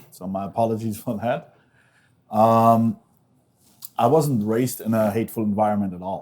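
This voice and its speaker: A man speaks with fairly even intonation, long, frequent pauses and big swings in loudness. The recording is very clean, with a silent background. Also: medium pitch for a man, moderate pace. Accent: German. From Germany. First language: German. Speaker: former extremist turned activist, author. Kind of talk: interview before a live audience. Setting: stage with live audience.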